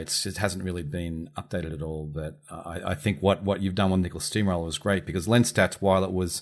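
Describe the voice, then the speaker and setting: Speaking fairly quickly with an Australian accent, a man uses a very deep, low pitch and fairly even intonation. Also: very clean recording, silent background. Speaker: podcast host and publisher. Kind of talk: podcast interview.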